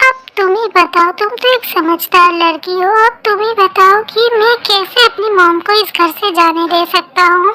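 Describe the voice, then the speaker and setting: A woman's put-on character voice, pitched extremely high. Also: moderate pace, hardly any pauses. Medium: fan dub. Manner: defensive, irritable.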